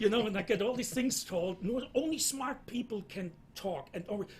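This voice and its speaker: A man talks with a German accent at a moderate pace. His pitch is high, with ordinary pitch variation. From Germany. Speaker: entrepreneur. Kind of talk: panel discussion.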